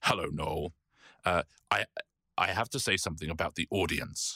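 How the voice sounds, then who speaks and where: A man's raspy, put-on character voice, very deep and low in pitch, at a fairly slow pace, with a dry, close sound and no echo. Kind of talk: put-on actor's voice.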